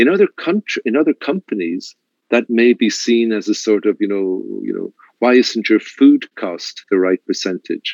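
This man speaks with an Irish accent. His pace is moderate. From Ireland. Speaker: luxury hotel general manager. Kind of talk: interview. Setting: video call.

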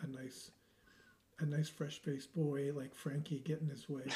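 This man's voice is fairly high in pitch, with a dark, mellow tone. His intonation is fairly even and he sounds somewhat breathy. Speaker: football podcast host. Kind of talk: casual chat about football.

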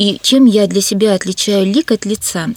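Fairly slowly and with fairly even intonation, a woman with an unremarkable speaking voice talks at medium pitch, in a dry, close sound with no echo. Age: 50s. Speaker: artist and museum educator. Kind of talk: radio interview. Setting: radio studio.

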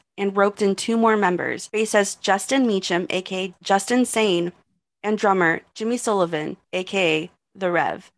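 A woman with an American accent talks at medium pitch and a moderate pace, with ordinary pitch variation. She has an ordinary speaking voice, and the sound is dry and close with no echo. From Texas. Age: 20s. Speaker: podcast host. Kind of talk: casual chat; scripted narration.

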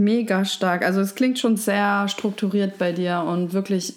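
A woman with an ordinary speaking voice talks at medium pitch and a fairly slow pace, her intonation fairly even. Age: 30s. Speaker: podcast host. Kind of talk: interview.

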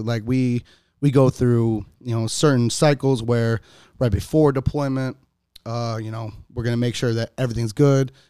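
A man with an American accent and a dark, mellow tone speaks at medium pitch and a moderate pace. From US Midwest, Cleveland, Ohio. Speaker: enlisted navy sailor. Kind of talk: casual chat.

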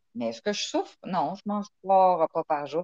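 A woman with a Quebec accent uses lively intonation, recorded with a dry, close sound with no echo. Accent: Québécois French. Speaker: engineer and humanitarian. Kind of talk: interview.

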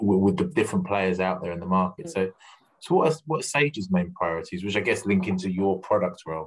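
This man speaks with an English accent. His pace is very fast. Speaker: podcast host, recruiter. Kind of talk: interview. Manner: halting.

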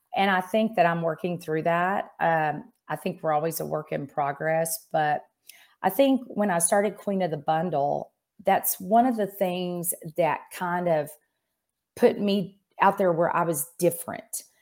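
This woman has an ordinary speaking voice, fairly low in pitch, with an American accent. Her pitch varies in an ordinary way, and the recording is very clean with a silent background. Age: 50s. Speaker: insurance executive and business coach. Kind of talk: interview.

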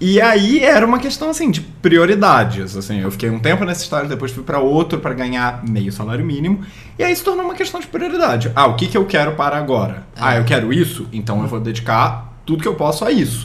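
A man talks fairly quickly, barely pausing, while noticeable noise fills the background. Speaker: advertising professional. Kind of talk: casual chat.

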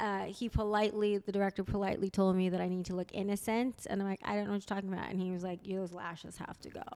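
Talking at a very fast pace, a woman has an American accent. Her pitch sits in the medium range. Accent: American English without Spanish. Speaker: comedian and podcaster. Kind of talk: casual chat. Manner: animated.

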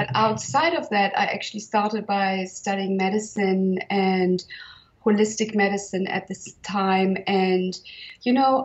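The speaker has a German accent and a somewhat breathy sound. The pace is fairly slow. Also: woman. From northern Germany. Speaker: herbalist and healer. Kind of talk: interview conversation.

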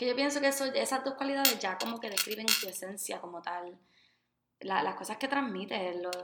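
Her voice is fairly high with lively intonation, moving at a fairly quick pace. Audible room echo is present. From Puerto Rico. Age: 20s. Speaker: podcast co-host, special education graduate. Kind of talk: casual chat.

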